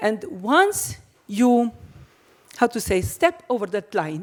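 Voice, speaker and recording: A woman with a fairly high voice speaks with very wide pitch swings. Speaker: cheesemaker. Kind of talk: panel discussion. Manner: halting.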